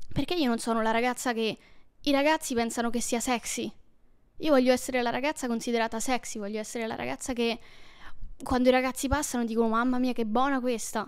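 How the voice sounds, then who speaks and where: Over a quiet background, a woman with a high pitch talks at a very fast pace with fairly even intonation and long, frequent pauses. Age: 20s. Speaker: YouTuber. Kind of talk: casual personal storytelling monologue. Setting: at home alone. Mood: intimate, reflective, somewhat emotional. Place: home room. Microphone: handheld.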